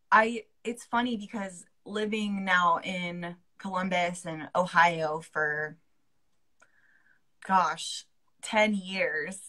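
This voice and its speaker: Her tone bright and sharp, a woman speaks at a medium pitch with ordinary pitch variation. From southwestern Pennsylvania. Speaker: radio host and music director. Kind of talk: casual interview.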